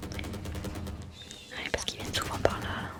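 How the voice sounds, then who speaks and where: A woman's whisper moves at a very slow pace, set against noticeable background noise. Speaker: ASMR gaming content creator. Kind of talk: ASMR gaming voice-over. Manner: soft-spoken, whispered.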